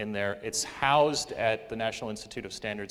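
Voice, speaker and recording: Fairly even intonation marks speech delivered at a fairly quick pace. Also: man. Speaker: professor and session moderator. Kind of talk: conference presentation. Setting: conference session with audience. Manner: many fillers, um and uh.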